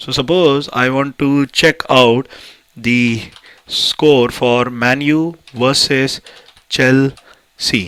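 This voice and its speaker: In an Indian accent, a man with medium pitch speaks at a very slow pace with fairly even intonation. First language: Hindi. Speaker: tech YouTuber. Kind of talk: tutorial. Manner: hesitant, many fillers.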